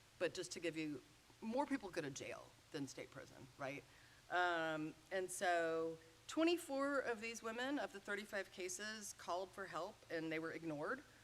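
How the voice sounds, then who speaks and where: A woman with an American accent speaks at a medium pitch. Her pace is moderate and her intonation lively. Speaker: sociology professor. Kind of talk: lecture. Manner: loud; animated.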